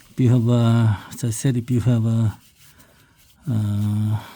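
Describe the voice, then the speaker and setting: A man with a non-native accent speaks at a medium pitch in a monotone, flat intonation. His loudness swings widely. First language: not English. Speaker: DIY car maintenance video host. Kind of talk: tutorial. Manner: halting, many fillers.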